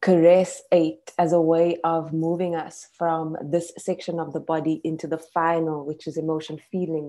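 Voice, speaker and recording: Against a quiet background, a woman speaks at a moderate pace. Her pitch is fairly low. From South Africa. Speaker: poet. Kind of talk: interview. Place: home room. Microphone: earbuds.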